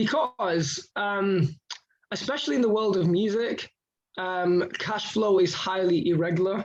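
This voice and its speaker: A man talks in a high pitch at a fairly slow pace with ordinary pitch variation. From Indonesia. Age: 20s. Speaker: rapper and finance educator. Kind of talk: radio interview. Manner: halting, many repetitions.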